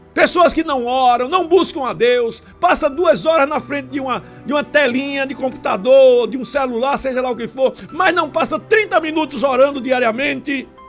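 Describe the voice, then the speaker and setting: Moderately paced speech with hardly any pauses, over music in the background. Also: man, extremely high pitch for a man, ordinary pitch variation. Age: 70s. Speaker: pastor. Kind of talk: sermon.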